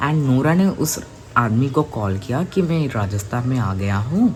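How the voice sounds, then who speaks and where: A man speaks in a Hyderabadi accent at a medium pitch. His intonation is lively. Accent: Hyderabadi-accented Hindi. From India, Hyderabad. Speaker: youtube storyteller. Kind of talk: casual storytelling. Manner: halting, with repetitions and fillers.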